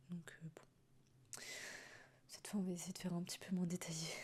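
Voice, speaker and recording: A soft-spoken, somewhat breathy woman's voice of medium pitch, dark and mellow in tone, with flat, monotone intonation. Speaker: webtoon artist. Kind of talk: soft-spoken ASMR drawing tutorial.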